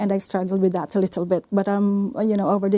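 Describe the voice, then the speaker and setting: A woman with a Filipino accent speaks at a fairly quick pace and a medium pitch. Her tone is dark and mellow, her intonation monotone and flat. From Philippines. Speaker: research nurse. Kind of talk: podcast interview. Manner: halting.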